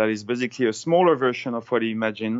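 With a French accent, a man speaks at a medium pitch with ordinary pitch variation. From France. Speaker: ocean scientist. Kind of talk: phone interview. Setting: phone call.

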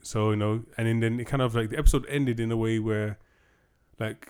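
A man speaks with a British accent. His pace is moderate and his pitch medium. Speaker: podcast host. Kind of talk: casual chat.

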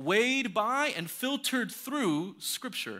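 With a bright, sharp tone, a man speaks in a raised, projected, high-pitched voice that swings very widely in pitch. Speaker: pastor. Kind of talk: sermon. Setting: church. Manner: fast talker; halting, repeats words.

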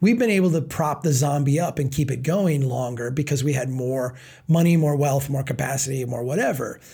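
At a moderate pace, a man with a fairly high pitch, lively intonation and a dark, mellow, somewhat breathy tone speaks. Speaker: nonprofit founder and author. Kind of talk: interview conversation. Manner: halting with frequent repetitions.

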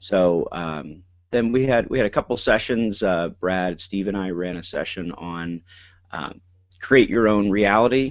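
Here is a man with a plain, everyday voice. His pitch varies in an ordinary way. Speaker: school principal and podcast co-host. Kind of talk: casual chat. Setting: online call.

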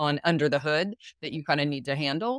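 A woman is speaking. The sound is dry and close, with no echo. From US East Coast. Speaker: business founder and consultant. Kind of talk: casual interview chat. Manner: fast talker, efficient.

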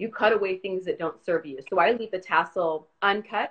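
A woman talking at a very fast pace with ordinary pitch variation. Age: 40s. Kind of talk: casual chat.

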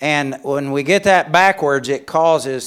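The speech moves at a fairly slow pace on a very clean recording with a silent background. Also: man. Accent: Southern US. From Alabama, US South. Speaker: missionary and speaker. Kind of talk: sermon. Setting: church chapel with audience. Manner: humorous, jokes.

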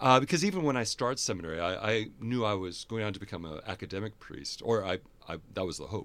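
Talking at a very fast pace, a man with an American accent uses lively intonation at a fairly low pitch. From US Midwest, Fargo-Moorhead. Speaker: theology professor and priest. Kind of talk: interview conversation.

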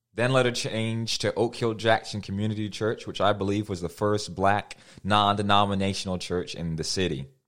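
With an American accent and a normal speaking voice, a man speaks at a moderate pace with hardly any pauses. His pitch is fairly low and his intonation fairly even. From US Midwest (Cedar Rapids, Iowa). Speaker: preacher. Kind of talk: sermon.

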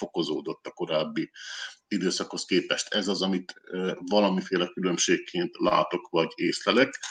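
The sound of a man talking at a moderate pace is dry and close, with no echo. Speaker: journalist. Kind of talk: panel discussion. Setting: studio.

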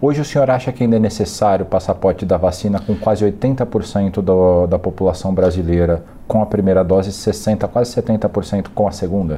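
This man has a fairly low pitch and a dark, mellow tone, talking at a moderate pace with ordinary pitch variation, very even loudness and hardly any pauses. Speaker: journalist interviewer. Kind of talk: interview; scripted announcement. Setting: studio.

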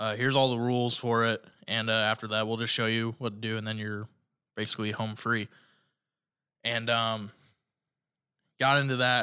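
A man with a bright, sharp tone and medium pitch speaks in a flat monotone at a moderate pace, leaving long, frequent pauses on a very clean recording with a silent background. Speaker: student podcast host. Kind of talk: casual solo monologue. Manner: filler-heavy, many ums and uhs.

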